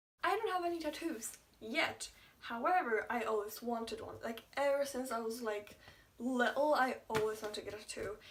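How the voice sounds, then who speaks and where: Over noticeable background noise, a woman with a high pitch mumbles at a moderate pace with lively intonation. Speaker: YouTuber. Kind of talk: casual vlog chat. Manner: mumbling.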